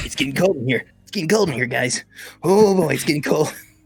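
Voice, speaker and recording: A man uses a put-on character voice pitched fairly high. He talks at a very fast pace. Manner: goofy, exaggerated.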